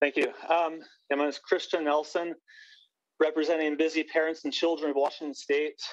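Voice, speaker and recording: Monotone, flat delivery from a fairly high-pitched man at a fairly quick pace, broken by long, frequent pauses. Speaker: public hearing testifier, parent. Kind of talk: public testimony. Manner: fast; halting.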